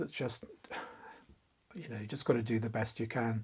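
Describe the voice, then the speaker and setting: Fairly quick, somewhat breathy speech from a man. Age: 60s. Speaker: fantasy artist. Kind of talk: interview. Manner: halting.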